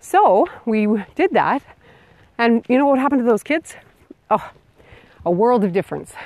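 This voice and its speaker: A woman with a fairly high pitch and very wide pitch swings speaks at a moderate pace with long, frequent pauses, in a dry, close sound with no echo. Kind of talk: casual monologue. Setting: outdoors, walking.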